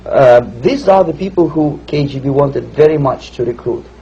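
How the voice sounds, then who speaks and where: Fairly slow speech with fairly even intonation comes through over noticeable background noise. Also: man. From Russia (Moscow suburb). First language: Russian. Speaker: former KGB officer, defector. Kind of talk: interview answer.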